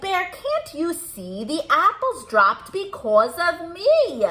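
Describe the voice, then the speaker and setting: Using a put-on character voice, a woman speaks at an extremely high pitch and a fairly slow pace, with very wide pitch swings. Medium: read story. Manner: proud, emphatic.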